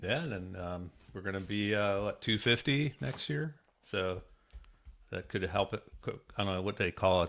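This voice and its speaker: A man's fairly low voice at a moderate pace, ordinary pitch variation, music in the background. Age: 60s. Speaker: podcast host. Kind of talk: casual chat.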